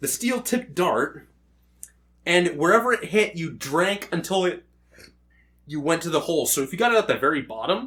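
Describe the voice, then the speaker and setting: A loud man's high voice, bright, sharp and animated, broken by long, frequent pauses. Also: lively intonation, moderate pace. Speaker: podcast co-host. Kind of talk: casual chat. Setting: in-person podcast recording.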